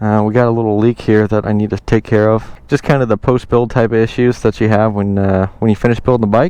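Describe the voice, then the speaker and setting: A man with an American accent talks at a very fast pace, his loudness very even. His voice is fairly low in pitch, with a dark, mellow tone. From United States. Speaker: motorcycle builder and vlogger. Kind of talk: casual vlog while riding. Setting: outdoors on a motorcycle. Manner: animated.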